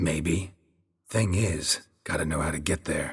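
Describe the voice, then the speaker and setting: In a put-on character voice, a man delivers lines in a deadpan tone, raspy and very deep, low in pitch, at a fairly slow pace. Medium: video game. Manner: terse, deadpan.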